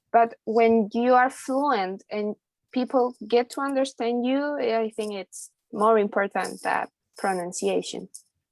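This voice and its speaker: In a very clean recording with a silent background and a dry, close sound with no echo, a woman with a Spanish accent speaks fairly slowly at a fairly high pitch. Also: fairly even intonation. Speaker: university student. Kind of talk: group discussion.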